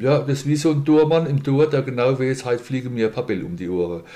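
Very fast and with lively intonation, a man talks in a dark, mellow tone. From Mannheim, Germany. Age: 50s. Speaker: insurance broker and boxing event organizer. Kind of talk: casual interview.

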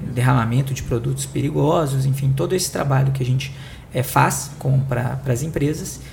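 A man with a Minas Gerais accent, with audible room echo and noticeable background noise. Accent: Minas Gerais (mineiro). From Belo Horizonte, Minas Gerais, Brazil. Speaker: corporate sustainability director. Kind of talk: panel discussion. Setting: studio.

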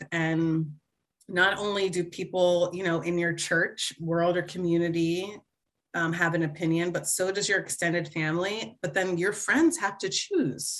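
With an American accent, a woman talks in an ordinary speaking voice at a moderate pace, her fairly low pitch carried by fairly even intonation. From New Jersey. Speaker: corporate professional and mother. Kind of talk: interview.

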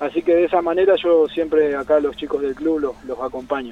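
Fairly even intonation in a Santa Fe Argentine accent, over noticeable background noise. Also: man. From Argentina, Santa Fe city. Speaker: national team kayaker. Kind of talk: interview. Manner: halting, many repetitions.

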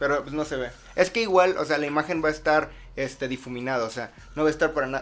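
A man rattles along very fast in a fairly high pitch that rises and falls in an ordinary way. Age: young. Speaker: podcast host. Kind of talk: casual chat.

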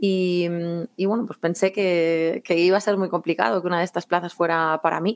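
An unremarkable speaking voice, a woman talks at a fairly low pitch and a moderate pace with fairly even intonation, in a dry, close sound with no echo. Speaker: civil servant, exam prep contributor. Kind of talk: interview.

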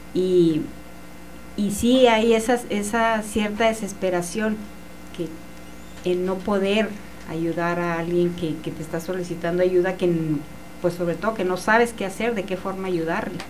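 A woman with a medium pitch speaks at a fairly slow pace with fairly even intonation and long, frequent pauses, amid noticeable background noise and audible room echo. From Chihuahua, Mexico. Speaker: author and medium. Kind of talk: testimony.

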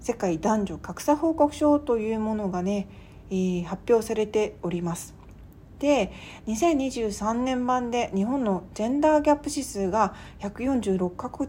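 A woman speaks in a somewhat breathy, fairly high voice at a fairly slow pace with lively intonation. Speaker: podcast host and writer. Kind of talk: solo podcast monologue. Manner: casual with polite phrasing.

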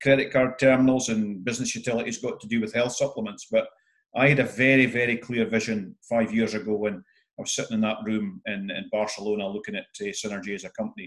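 A man with a Scottish accent talks at a very fast pace with hardly any pauses. His pitch is medium and his intonation fairly even. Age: 50s. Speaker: entrepreneur and event MC. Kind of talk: interview.

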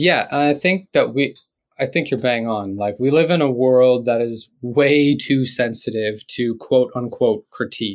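In a very clean recording with a silent background, a man speaks at a fairly slow pace with medium pitch and ordinary pitch variation. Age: 30s. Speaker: artist and writer. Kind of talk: casual chat.

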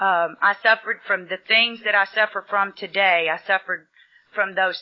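A woman with a Texan accent. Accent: Texan Southern US. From Texas. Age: 30s. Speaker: recovering alcoholic speaker. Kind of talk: recovery testimony.

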